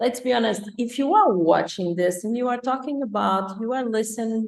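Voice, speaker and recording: A woman speaks with a Portuguese accent. Her pitch varies in an ordinary way. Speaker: life coach. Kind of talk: live interview show. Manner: animated.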